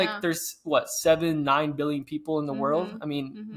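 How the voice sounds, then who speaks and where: Fairly high in pitch, a man's voice shows ordinary pitch variation. He speaks at a very fast pace. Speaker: podcast co-host, personal trainer and nutrition coach. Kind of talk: podcast conversation.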